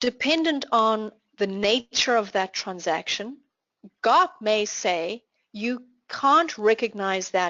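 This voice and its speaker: A woman speaks with a South African accent. Her pitch is medium. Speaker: finance trainer. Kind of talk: online class Q&A.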